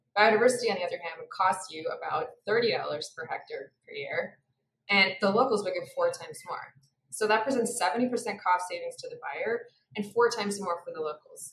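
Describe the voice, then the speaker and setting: A woman at a moderate pace with big swings in loudness, audible room echo and light background noise. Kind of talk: presentation. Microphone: webcam.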